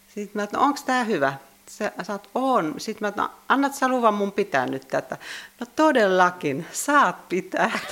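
Amid noticeable background noise, a woman with a medium pitch speaks at a moderate pace, her pitch swinging very widely. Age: 60s. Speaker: church sexton. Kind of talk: interview.

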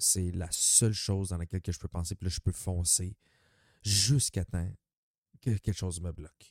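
In a Quebec accent, a man with a very deep, low pitch and a dark, mellow tone speaks at a moderate pace with fairly even intonation and long, frequent pauses, on a very clean, dry, close recording with no echo and a silent background. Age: 30s. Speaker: podcaster. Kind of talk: casual monologue. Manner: halting.

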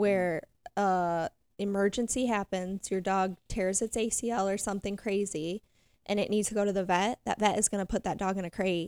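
Speaking in a plain, everyday voice with an American accent, a woman keeps a medium pitch, fairly even intonation and a moderate pace. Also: very clean recording, silent background. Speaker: dog trainer. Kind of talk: casual chat.

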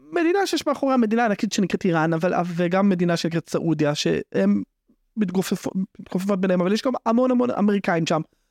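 The speaker keeps a moderate pace and very even loudness with ordinary pitch variation, in a dry, close recording with no echo. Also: man, high pitch for a man. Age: 30s. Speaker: legal affairs journalist. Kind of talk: casual chat.

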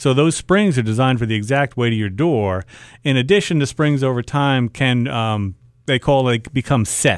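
A man with an American accent speaks at a medium pitch. His pitch varies in an ordinary way at a moderate pace. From US Northeast (Long Island, New York). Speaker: garage door business owner. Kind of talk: radio call-in advice. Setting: studio.

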